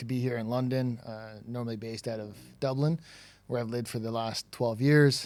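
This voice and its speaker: With a Toronto accent, a man at a medium pitch speaks at a fairly quick pace. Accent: Toronto Canadian. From Canada, Toronto. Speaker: tech company CEO, former sales executive. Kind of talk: podcast interview. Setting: in person, studio.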